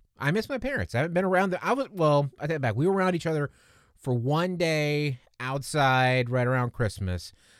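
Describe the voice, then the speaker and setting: Here a man has an unremarkable speaking voice with lively intonation. The recording is very clean, with a silent background. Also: fairly high pitch for a man. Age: 40s. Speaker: podcast host. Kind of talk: casual solo podcast monologue. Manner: conversational, with frequent fillers and restarts.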